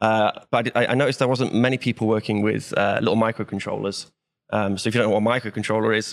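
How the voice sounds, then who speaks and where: A man talks very fast in a Welsh accent, his fairly low pitch touched with vocal fry. His intonation stays fairly even, and the recording is very clean with a silent background. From Wales. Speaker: software developer. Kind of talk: casual chat.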